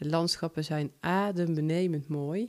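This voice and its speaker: Her pitch fairly low, a woman speaks with a dark, mellow tone. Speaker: podcaster and short story writer. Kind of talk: personal podcast monologue.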